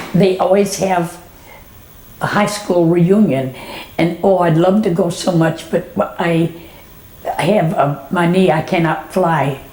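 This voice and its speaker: Over noticeable background noise and audible room echo, a woman with an American accent speaks very slowly at a fairly low pitch, with fairly even intonation and very even loudness. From Texas, Dallas area. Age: 90s. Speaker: elderly woman sharing memories. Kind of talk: oral history reminiscence. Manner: halting, with repetitions.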